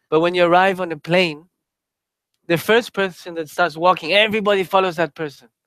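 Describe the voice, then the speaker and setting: Speaking fairly quickly with a Spanish accent, a man uses a high pitch and ordinary pitch variation, recorded with a dry, close sound and no echo. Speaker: Buddhist teacher. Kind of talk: dharma talk. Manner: casual, filler-heavy.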